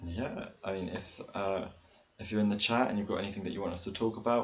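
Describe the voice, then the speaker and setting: A man with a British accent speaks very fast in a fairly low pitch, his intonation monotone and flat. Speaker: sports podcast co-host. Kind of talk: casual chat. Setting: live stream. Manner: loud.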